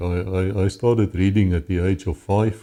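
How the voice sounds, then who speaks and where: Somewhat breathy, with a dark, mellow tone, a man with a South African accent speaks at a very deep, low pitch in a very clean recording with a silent background. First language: Afrikaans. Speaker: former police officer. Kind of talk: interview testimony.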